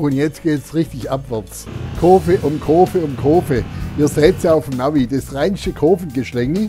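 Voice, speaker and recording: With music in the background, a man in a Swabian accent speaks at a fairly slow pace and a fairly high pitch, with ordinary pitch variation. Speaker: motorcycle tourer. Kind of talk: casual talk to camera while riding. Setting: outdoors, helmet intercom mic.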